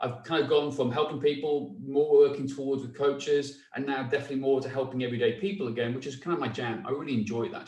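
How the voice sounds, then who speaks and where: This man speaks at a very fast pace with a fairly high pitch and ordinary pitch variation. Audible room echo surrounds his voice. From North Wales. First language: Welsh. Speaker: fitness coach, former police officer. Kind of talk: casual chat.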